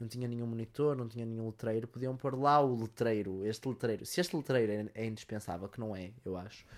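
On a very clean recording with a silent background, a man with a European Portuguese accent and a medium pitch talks in an animated tone at a fairly quick pace, with hardly any pauses and ordinary pitch variation. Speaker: podcaster. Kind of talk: casual monologue.

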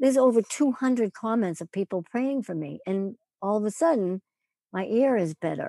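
A woman talks in a normal speaking voice at a moderate pace, her pitch fairly high. Her intonation is lively, and the sound is dry and close with no echo. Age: 60s. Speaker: author and cancer wellness coach. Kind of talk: casual interview.

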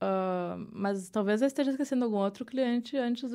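On a very clean recording with a silent background, a woman speaks fairly quickly in a dark, mellow tone with ordinary pitch variation. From southern Brazil, Porto Alegre. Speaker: illustrator and visual artist. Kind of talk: interview conversation. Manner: halting, many fillers.

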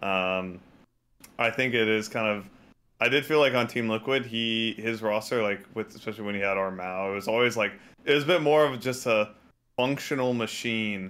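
Medium pitch for a man, moderate pace, and ordinary pitch variation. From Texas. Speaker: esports coach. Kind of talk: casual chat. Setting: video call.

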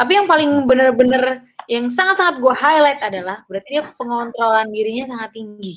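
A woman at a fairly quick pace and high pitch, with lively intonation, big swings in loudness and hardly any pauses. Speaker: podcast host. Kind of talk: casual interview. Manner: animated.

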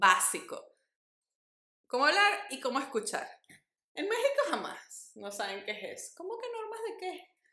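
In a room with audible echo, a woman speaks at a fairly slow pace, with big swings in loudness and long, frequent pauses. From Venezuela. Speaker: podcast co-host. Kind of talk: casual chat.

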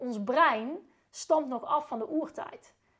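Here a woman speaks at a high pitch. Her pitch varies in an ordinary way. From Netherlands, North Brabant (Uden). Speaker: sales trainer and former equestrian rider. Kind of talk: casual interview chat. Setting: at the host's home.

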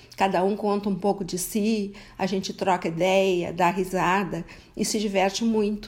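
A woman's flat, monotone delivery comes at a fairly slow pace. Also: medium pitch for a woman. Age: 70s. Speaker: retiree. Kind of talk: interview.

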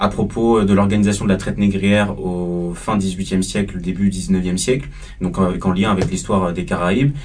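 A man speaks at a fairly slow pace in a fairly low pitch with ordinary pitch variation, with audible room echo and noticeable background noise. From Paris suburbs, France (Martinican family). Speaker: student activist. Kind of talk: panel discussion.

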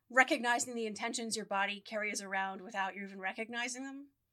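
A woman speaks with a bright, sharp tone at a fairly high pitch. Her intonation stays fairly even. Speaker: podcast co-host. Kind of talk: casual chat. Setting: studio microphone. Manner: loud.

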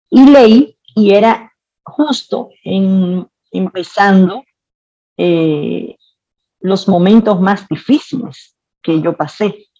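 Speaking at a very slow pace with long, frequent pauses, a woman has a medium pitch, a dark, mellow tone and lively intonation. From Dominican Republic, Santiago. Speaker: cook and restaurant owner. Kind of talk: interview storytelling.

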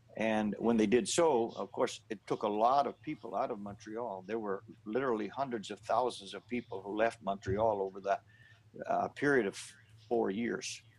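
In a Maritime Canadian accent, the speaker keeps a moderate pace and fairly even intonation. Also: man, medium pitch for a man. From New Brunswick, Canada. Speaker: pastor. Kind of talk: interview testimony.

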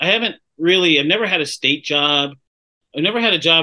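A man speaks with an American accent. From Sacramento, California. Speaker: playwright and theater director. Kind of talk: interview. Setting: video call. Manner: halting.

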